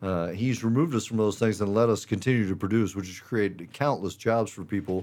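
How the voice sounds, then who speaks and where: Speaking at a fairly quick pace with hardly any pauses, a man with an unremarkable speaking voice keeps a fairly low pitch and ordinary pitch variation. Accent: American. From Missouri, US Midwest. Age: 40s. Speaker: construction business owner. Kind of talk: casual chat.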